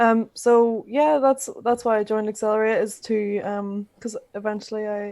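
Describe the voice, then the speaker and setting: Speaking at a moderate pace in a Northern Irish accent, a woman with a fairly high pitch and a dark, mellow tone is heard on a very clean recording with a silent background. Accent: Northern Irish (Belfast). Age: 20s. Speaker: podcast co-host, youth program participant. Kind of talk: casual chat. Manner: halting.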